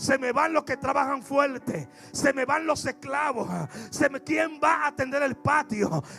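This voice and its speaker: With music in the background, a man uses a raised, projected voice at an extremely high pitch, speaking at a fairly slow pace with fairly even intonation. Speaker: pastor. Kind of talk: sermon.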